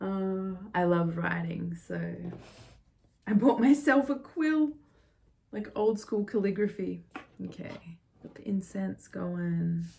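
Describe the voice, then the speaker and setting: Speaking at a very slow pace, a woman leaves long, frequent pauses. Her medium-pitched, somewhat breathy voice has lively intonation. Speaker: tarot reader. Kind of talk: tarot reading monologue.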